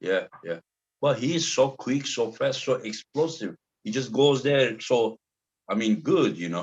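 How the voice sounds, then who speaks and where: Speaking at a fairly slow pace in a Turkish accent, a man with a medium pitch and vocal fry makes very wide pitch swings. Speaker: arm wrestling show host. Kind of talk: casual interview chat.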